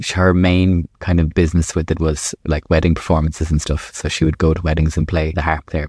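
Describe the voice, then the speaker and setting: A man with an Irish accent and a very deep, low pitch speaks at a fairly quick pace with fairly even intonation, in a dry, close sound with no echo on a very clean recording with a silent background. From southeast Ireland, County Waterford. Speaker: primary school teacher. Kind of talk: casual interview.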